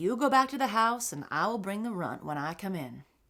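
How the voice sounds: The reading voice sounds natural. Its intonation moves in a lively way.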